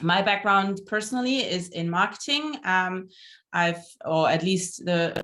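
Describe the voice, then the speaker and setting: Speaking in a German accent, a woman keeps a medium pitch and lively intonation at a fairly slow pace. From Germany. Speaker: entrepreneur and startup mentor. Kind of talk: online networking event hosting.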